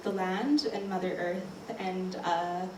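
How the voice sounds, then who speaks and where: A woman with a Canadian accent speaks at medium pitch over noticeable background noise and audible room echo. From Canadian Prairies (Regina, Saskatchewan). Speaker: artist. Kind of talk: panel talk. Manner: hesitant, many fillers.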